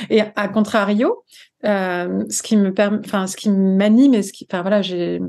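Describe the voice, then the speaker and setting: Against a quiet background, a woman with a dark, mellow tone and medium pitch speaks at a fairly slow pace, her loudness swinging widely. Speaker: psychologist and author. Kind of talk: podcast interview. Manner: animated.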